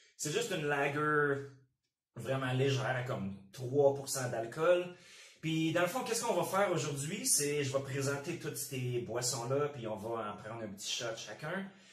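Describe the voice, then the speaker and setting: In a Quebec accent, a man with a fairly high pitch speaks at a fairly slow pace with lively intonation and audible room echo. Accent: Québécois French. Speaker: channel host. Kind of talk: casual chat. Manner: casual, informal.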